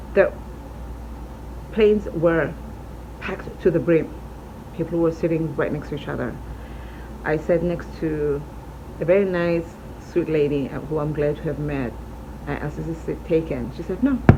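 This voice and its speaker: Speech at a moderate pace with long, frequent pauses, over noticeable background noise. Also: woman. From South Africa. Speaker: truck driver; vlogger. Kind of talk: casual talk to camera. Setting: hotel room.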